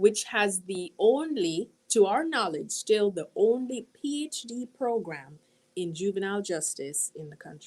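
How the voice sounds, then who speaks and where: A woman with a Jamaican accent speaks at a fairly slow pace and a medium pitch. Her pitch swings very widely and her loudness rises and falls a lot. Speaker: university dean. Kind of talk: interview.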